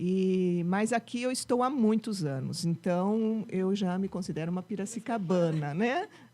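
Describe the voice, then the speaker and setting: At a fairly slow pace and with hardly any pauses, a woman speaks with a medium pitch, ordinary pitch variation, and a dark, mellow tone. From mixed: Rio de Janeiro, São Paulo, Minas Gerais, settled in Piracicaba. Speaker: music teacher and music school founder. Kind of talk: podcast interview. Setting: studio.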